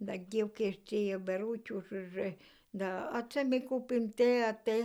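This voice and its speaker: With a Polesian accent, the voice has a dark, mellow tone and fairly even intonation. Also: woman. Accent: East Polesian dialect. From Chernihiv region, Ukraine (flooded village by the Dnieper). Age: old. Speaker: village elder, former collective farm worker. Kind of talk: interview answer.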